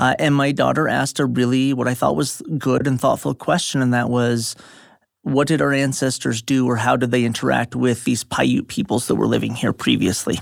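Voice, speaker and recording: A man with an American accent and a plain, everyday voice, medium in pitch, with very even loudness, ordinary pitch variation and a moderate pace. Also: very clean recording, silent background. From suburban Dallas, Texas. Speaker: history professor. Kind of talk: interview, explanatory.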